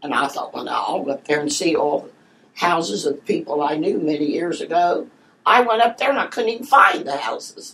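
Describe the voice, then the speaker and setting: A woman speaks at a fairly quick pace. Her fairly low voice moves in very wide pitch swings. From southern Ohio, Portsmouth area. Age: 90s. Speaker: oral history interviewee. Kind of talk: interview.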